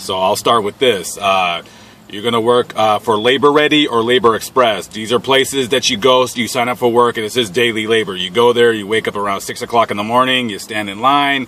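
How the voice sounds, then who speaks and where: A man speaks at a fairly quick pace with ordinary pitch variation, the sound dry with no echo. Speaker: van dweller vlogger. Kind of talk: casual vlog chat. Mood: blunt, irritated, opinionated. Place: car.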